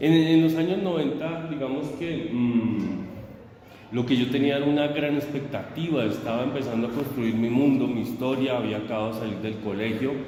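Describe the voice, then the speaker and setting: Audible room echo and noticeable background noise surround the speaker. He is a man with a medium pitch. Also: ordinary pitch variation, moderate pace. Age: 50s. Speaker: teacher. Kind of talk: interview.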